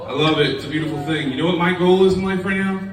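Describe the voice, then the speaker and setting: Over noticeable background noise and an audible room echo, a man speaks at a high pitch. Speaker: comedian. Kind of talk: stand-up. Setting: stage with audience. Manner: casual and animated.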